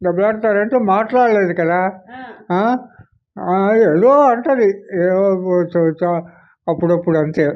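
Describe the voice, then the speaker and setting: High male voice with ordinary pitch variation. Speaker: retired panchayat officer. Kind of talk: interview answer.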